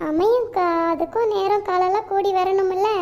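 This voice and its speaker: In a cartoonish character voice pitched extremely high, a woman speaks at a fairly slow pace over noticeable background noise. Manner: warm, homely.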